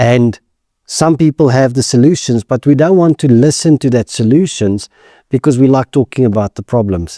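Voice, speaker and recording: This man speaks at a moderate pace in a medium pitch with ordinary pitch variation and a dark, mellow tone, captured dry and close with no echo on a very clean recording against a silent background. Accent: South African. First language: Afrikaans. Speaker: insurance executive. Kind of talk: podcast interview.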